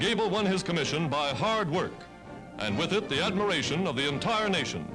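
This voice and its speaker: A high-pitched man with an American accent, fairly quick and lively in intonation, with music in the background. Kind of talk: newsreel narration.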